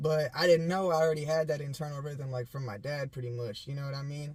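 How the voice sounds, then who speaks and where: Intonation here stays fairly even. There is a somewhat breathy quality to the voice. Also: man. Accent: American. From US Pacific Northwest (Portland/Vancouver, WA). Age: 20s. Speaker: rapper. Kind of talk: casual interview.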